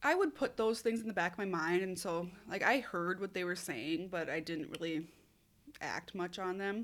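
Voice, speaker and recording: On a very clean recording with a silent background, a woman speaks with an Upper Midwest accent. Her pace is moderate and her pitch variation ordinary. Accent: Upper Midwest (Minnesota). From Minnesota. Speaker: hairstylist. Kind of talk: personal testimony.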